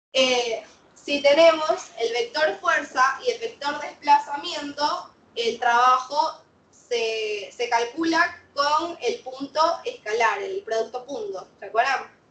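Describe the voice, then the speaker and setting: The speech moves at a very slow pace with lively intonation. Its loudness swings widely. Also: woman, high pitch for a woman. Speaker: physics teacher. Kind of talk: lecture.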